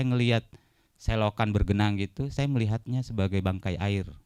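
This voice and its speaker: The male voice has a dark, mellow tone. No echo here; the sound stays dry and close. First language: Bugis (speaking Indonesian). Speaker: poet. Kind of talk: book talk interview. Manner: hesitant, many fillers.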